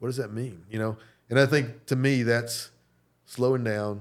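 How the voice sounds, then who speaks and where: Man with an American accent at medium pitch, fairly slow pace and ordinary pitch variation, on a very clean recording with a silent background. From North Carolina. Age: 60s. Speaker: business executive and restaurant owner. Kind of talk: interview. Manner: halting.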